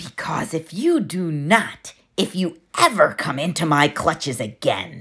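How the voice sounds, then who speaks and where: A put-on character voice at middle pitch breaks into cackling. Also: fairly slow pace. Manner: cackling, menacing.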